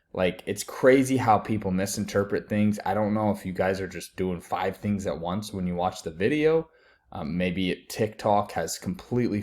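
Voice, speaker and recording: A man with an ordinary speaking voice, fairly low pitch and a moderate pace. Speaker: sports betting pundit. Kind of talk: casual online video talk.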